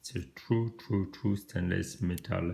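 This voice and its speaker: This man has a very deep, low pitch and speaks with a French accent. His voice is somewhat breathy. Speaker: watch reviewer. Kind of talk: product review. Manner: halting.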